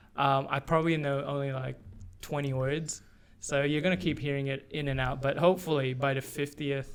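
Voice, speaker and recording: Fairly quick delivery pairs with monotone, flat intonation. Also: man, fairly high pitch for a man. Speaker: podcast co-host. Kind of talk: casual chat.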